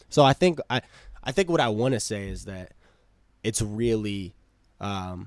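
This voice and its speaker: A man with an American accent speaks in an ordinary speaking voice, with a fairly low pitch, lively intonation and a fairly slow pace. The recording is very clean with a silent background, and the sound is dry and close with no echo. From Cambridge, Massachusetts. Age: 20s. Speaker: musician. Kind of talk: casual chat. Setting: studio.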